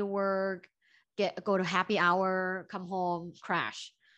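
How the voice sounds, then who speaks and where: Against a quiet background, a woman with a Thai accent speaks at a very slow pace and a medium pitch, in a monotone, flat intonation. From Thailand, Bangkok. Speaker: professor and relationship coach. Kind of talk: podcast interview.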